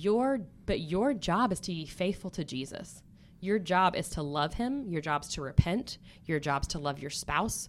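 In an American accent, a woman speaks with an unremarkable speaking voice at a fairly low pitch. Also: lively intonation, fairly slow pace. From US, Stillwater. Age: 30s. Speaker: church ministry worker. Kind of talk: testimony.

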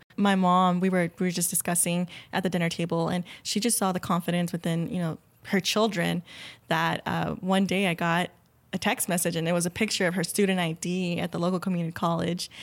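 With an American accent, a woman speaks at a fairly quick pace in a fairly low pitch. Her intonation is monotone and flat. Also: very clean recording, silent background. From Rio Grande Valley, South Texas. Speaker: medical center employee, scholarship alumna. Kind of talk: interview conversation.

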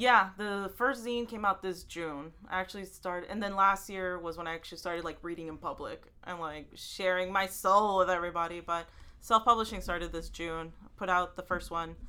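Speaking at a fairly quick pace with a Texan accent, a woman uses a medium pitch, a bright, sharp tone and fairly even intonation, with big swings in loudness on a very clean recording with a silent background. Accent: Texan American English. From Houston, Texas; Salvadoran family. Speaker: writer. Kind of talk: casual interview.

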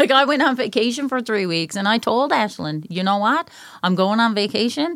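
A woman speaks in a Newfoundland accent at a moderate pace. Her pitch is fairly high and her intonation lively. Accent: Newfoundland, noticeable. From Newfoundland, Canada. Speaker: mental health and addictions counselor, client.

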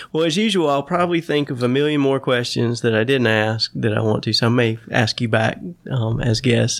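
Here is a man with an unremarkable speaking voice and a medium pitch. He talks at a fairly quick pace with ordinary pitch variation. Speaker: podcast host. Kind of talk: casual interview conversation.

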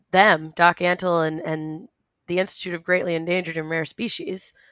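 A woman with an American accent speaks in a plain, everyday voice at a moderate pace, her fairly low pitch moving with ordinary variation on a very clean recording with a silent background. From Rhode Island, US. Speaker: former private zoo worker. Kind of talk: interview.

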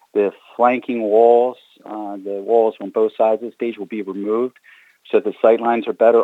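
A man with an American accent, medium pitch, fairly even intonation, and a plain, everyday voice. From Baltimore, Maryland. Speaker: arena general manager. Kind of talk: interview.

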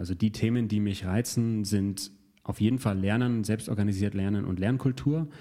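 A man with an unremarkable speaking voice, fairly low in pitch, ordinary in pitch variation, at a moderate pace. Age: 30s. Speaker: learning coach and guest interviewer. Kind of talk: conversational interview.

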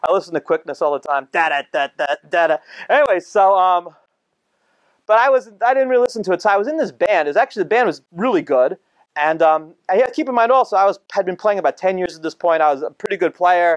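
With a New Jersey accent, a man speaks in a high, animated voice with lively intonation at a very fast pace, the sound dry and close with no echo against a quiet background. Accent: New Jersey American. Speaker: rabbi and speaker. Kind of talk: talk to live audience. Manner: casual, animated.

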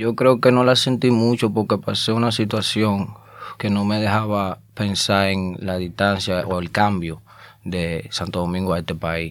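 Using an unremarkable speaking voice, a man talks fairly slowly at a fairly low pitch with fairly even intonation. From Dominican Republic (Azua, rural). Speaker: rapper. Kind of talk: casual interview chat; freestyle rap.

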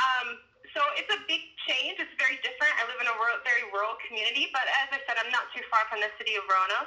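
With an American accent, a woman speaks at a very fast pace in a high pitch with lively intonation. Noticeable background noise is present. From Baltimore, Maryland. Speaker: climate justice organizer. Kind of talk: interview.

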